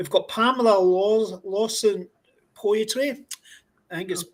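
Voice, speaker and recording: The speech moves at a very slow pace in a Scottish accent. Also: man. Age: 60s. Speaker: podcast host. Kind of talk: casual interview.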